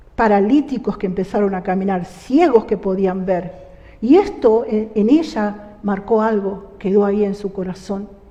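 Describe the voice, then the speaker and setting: The speech moves at a fairly slow pace with ordinary pitch variation. Noticeable background noise sits behind it. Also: woman, medium pitch for a woman. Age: 60s. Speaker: church member giving testimony. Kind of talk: testimony.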